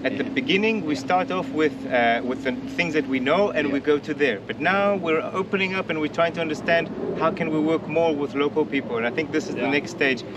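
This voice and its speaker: Against loud background noise, a man with a fairly high pitch and lively intonation talks at a very fast pace, the sound dry with no echo. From South Africa. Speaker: environmental project coordinator. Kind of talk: interview during site tour. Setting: outdoor demonstration site. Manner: halting, with many repetitions and fillers. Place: open country. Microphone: camera far.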